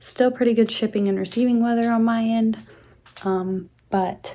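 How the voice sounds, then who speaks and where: Quietly, a woman speaks with a dark, mellow tone and fairly even intonation. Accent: American. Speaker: plant YouTuber. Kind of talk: casual home tour vlog. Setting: at home.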